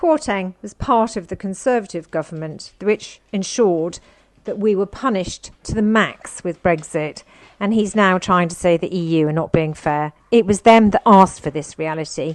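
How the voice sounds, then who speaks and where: This woman speaks with a British accent. Her pitch varies in an ordinary way. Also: medium pitch for a woman, moderate pace. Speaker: political commentator. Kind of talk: political commentary.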